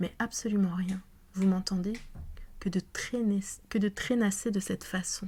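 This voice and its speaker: The speaker is soft-spoken. The pace is fairly slow. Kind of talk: audiobook reading, ASMR-style.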